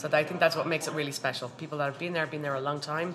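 In a Dublin accent, a woman speaks very fast with a very deep, low pitch. Her intonation is monotone and flat, with noticeable background noise around her. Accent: Dublin Irish. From Dublin, Ireland. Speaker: bartender. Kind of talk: casual chat.

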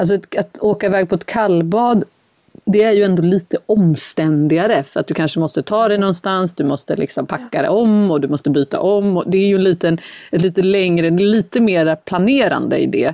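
This woman talks at a fairly quick pace with medium pitch, ordinary pitch variation and very even loudness, in a dry, close sound with no echo. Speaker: podcast co-host. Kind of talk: casual chat. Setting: sitting in a wardrobe closet. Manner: quiet, cautious.

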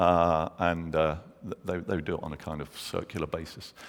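With a London accent, a man speaks at a moderate pace. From London, England. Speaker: pastor. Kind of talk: sermon.

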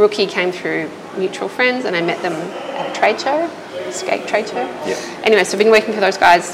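A woman talks fairly quickly in an Australian accent, with lively intonation at a medium pitch. Noticeable background noise can be heard. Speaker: illustrator and designer. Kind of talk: casual interview chat. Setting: at her restaurant.

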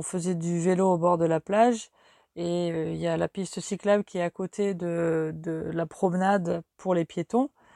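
In a very clean recording with a silent background and a dry, close sound with no echo, a woman speaks fairly low and slow with a dark, mellow tone and fairly even intonation. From France. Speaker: podcast host, language teacher. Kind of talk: casual monologue for language learners.

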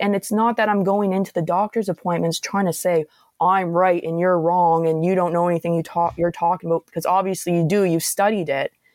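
In a very clean recording with a silent background and a dry, close sound with no echo, a woman speaks with a Nova Scotian accent and ordinary pitch variation. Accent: Nova Scotian Canadian English. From Nova Scotia, Antigonish area. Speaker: tarot reader. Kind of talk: casual chat.

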